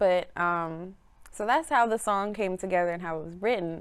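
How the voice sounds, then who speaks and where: A woman with an American accent speaks in an unremarkable speaking voice, her pitch fairly low, at a moderate pace with ordinary pitch variation. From Chicago, south side, Belizean parents. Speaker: musician. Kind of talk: casual interview.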